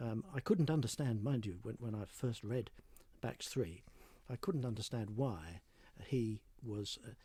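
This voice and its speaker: Pausing long and often, a man speaks fairly slowly at a medium pitch, his tone dark and mellow, somewhat breathy, with ordinary pitch variation. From North London, England. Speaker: conductor. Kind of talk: interview. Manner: hesitant, with fillers and repeats.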